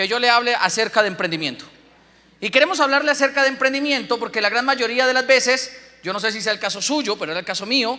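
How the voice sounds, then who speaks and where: A man talks at a fairly quick clip in an extremely high pitch, his voice raised and projected, animated in tone with ordinary pitch variation over noticeable background noise. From Colombia, Boyacá. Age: 20s. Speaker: business speaker. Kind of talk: motivational talk.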